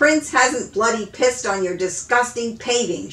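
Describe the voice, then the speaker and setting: A woman growls in a put-on character voice at a fairly high pitch and a moderate pace. Clear background noise runs behind her. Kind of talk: reading a novel aloud. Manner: angry, sputtering with indignation.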